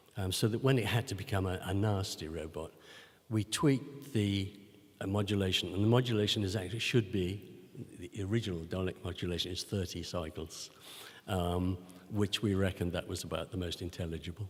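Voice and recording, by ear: A man talks at a low pitch with ordinary pitch variation. He leaves few pauses. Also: fairly quick pace.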